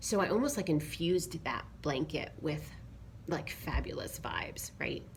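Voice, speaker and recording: A soft-spoken woman talks at a fairly slow pace. There is noticeable background noise. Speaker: yoga teacher. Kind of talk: casual talk to camera.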